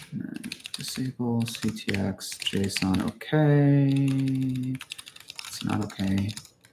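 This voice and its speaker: Mumbling at a very slow pace, a man speaks at a medium pitch with ordinary pitch variation and long, frequent pauses. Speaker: software developer live streaming coding. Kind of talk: live coding tutorial. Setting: live stream with screen share.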